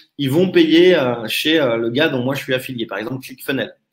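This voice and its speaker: This man's voice sits fairly high in pitch and has ordinary pitch variation. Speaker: online marketing trainer. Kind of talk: live webinar presentation. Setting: live stream with chat. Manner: fast.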